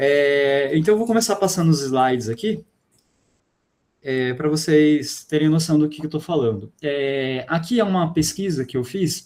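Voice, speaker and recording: Talking fairly slowly, a man keeps his voice at a fairly high pitch. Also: lively intonation. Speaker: physics teacher. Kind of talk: online class lecture.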